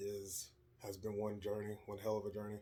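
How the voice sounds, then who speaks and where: A man is mumbling. He talks at a moderate pace. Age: 30s. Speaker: vlogger. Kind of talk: casual vlog monologue. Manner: mumbles over words; hesitant, many fillers.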